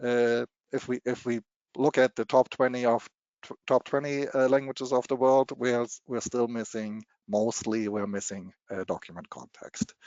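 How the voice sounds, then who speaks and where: Speaking at a moderate pace with fairly even intonation, a man of medium pitch talks in a German accent. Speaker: machine translation technology presenter. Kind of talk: webinar presentation. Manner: halting, many repetitions and fillers.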